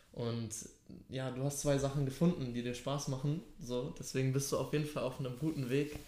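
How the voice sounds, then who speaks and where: A dark, mellow tone carries fairly even intonation at a moderate pace, with audible room echo. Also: man, fairly high pitch for a man. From Hamburg, Germany. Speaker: podcast host. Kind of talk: casual chat; podcast intro.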